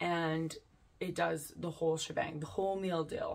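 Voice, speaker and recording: A woman with a fairly low pitch. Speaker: beauty vlogger. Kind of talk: casual product review chat. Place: home room.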